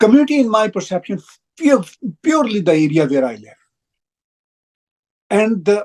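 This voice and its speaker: In a Pakistani Punjabi accent, a man talks at a moderate pace with long, frequent pauses. His voice is high and swings very widely in pitch. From Pakistan, Punjab (Lahore). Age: 60s. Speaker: broadcaster and writer. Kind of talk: interview. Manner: halting, with repetitions.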